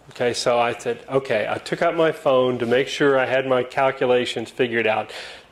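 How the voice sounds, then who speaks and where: This man has a medium pitch. Noticeable background noise runs under his voice. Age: 60s. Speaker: club speaker, lawyer. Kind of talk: talk to club audience with slides. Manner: casual, with fillers and false starts.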